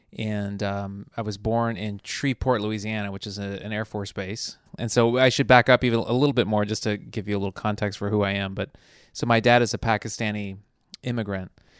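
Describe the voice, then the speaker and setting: A man with a General American accent, fairly low pitch and monotone, flat intonation at a fairly quick pace, over a quiet background. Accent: flat Burbank accent, general American. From US South (military bases abroad, then Mississippi, Alabama, Florida, Texas). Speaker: television writer. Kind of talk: podcast interview.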